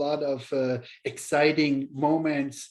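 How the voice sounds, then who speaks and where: This man has a German accent. His pitch is fairly high. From Germany. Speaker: chef and culinary instructor. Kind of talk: webinar panel talk. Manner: halting, many fillers.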